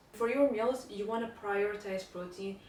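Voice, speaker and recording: A woman is speaking with audible room echo. Noticeable background noise can be heard. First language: not English (English is third language). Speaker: lifestyle vlogger. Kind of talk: casual tutorial. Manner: casual, with fillers.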